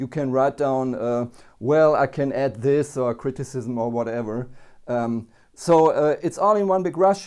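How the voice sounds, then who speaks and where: A man's fairly high voice with a non-native accent and ordinary pitch variation, at a fairly slow pace over a quiet background. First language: not English. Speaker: synthesizer reviewer. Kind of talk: product review. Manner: halting, many fillers.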